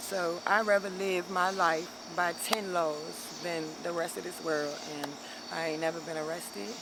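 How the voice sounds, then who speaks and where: The speaker has an American accent and a moderate pace. Noticeable background noise can be heard. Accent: sounds southern to people from up north. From DMV area (Maryland near DC and Virginia). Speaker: interviewee on the street. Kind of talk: casual street interview.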